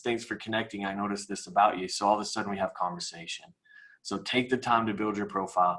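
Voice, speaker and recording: Speaking very fast, a man uses a fairly low voice with fairly even intonation. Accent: Midwestern American. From US Midwest, Kansas City. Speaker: mortgage professional. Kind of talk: webinar presentation.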